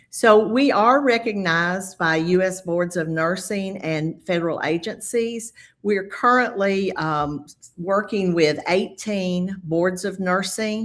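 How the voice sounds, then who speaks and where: At a very slow pace, a woman with a Southern US accent talks at a medium pitch. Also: ordinary pitch variation. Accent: quite a Southern US. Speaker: nurse, credential evaluation specialist. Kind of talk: webinar presentation. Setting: video call webinar.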